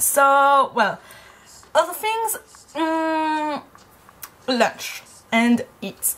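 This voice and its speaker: A woman speaks with a French accent at a very slow pace, leaving long, frequent pauses. Her pitch is high and swings very widely. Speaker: university student. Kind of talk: casual talk to camera. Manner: chatty, rambling.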